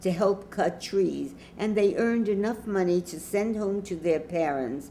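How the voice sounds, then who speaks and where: A woman speaks at a fairly slow pace with an American accent. Her voice is fairly low with a dark, mellow tone and ordinary pitch variation. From New York City, Lower East Side. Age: 90s. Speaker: grandmother web show host. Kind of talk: personal storytelling monologue.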